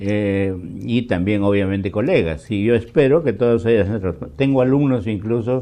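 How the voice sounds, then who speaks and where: Dark and mellow in tone, a man's voice sits fairly low with ordinary pitch variation. He keeps a moderate pace. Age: 80s+. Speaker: political scientist, professor. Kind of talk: interview. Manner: hesitant, many fillers.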